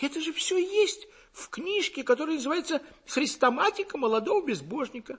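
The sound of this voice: A man puts on a character voice at an extremely high pitch with big pitch swings and a fairly bright tone. He talks at a fairly quick pace.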